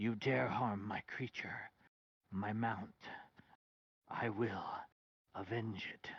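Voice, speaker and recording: A man whispering in a put-on character voice at a very slow pace, with long, frequent pauses. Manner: menacing, vengeful.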